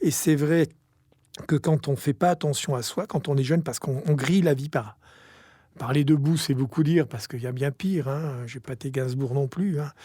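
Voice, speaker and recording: In a very clean recording with a silent background, a man speaks at a moderate pace with a fairly high pitch, ordinary pitch variation and a somewhat breathy, dark, mellow tone. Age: 60s. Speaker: company executive. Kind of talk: interview testimony.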